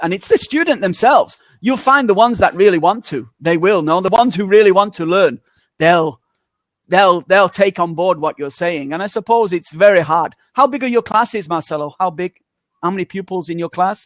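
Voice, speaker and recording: A man's high-pitched voice at a fairly quick pace, with ordinary pitch variation, dry and close with no echo, in a very clean recording with a silent background. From northern England, Manchester. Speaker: English teacher. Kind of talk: casual chat.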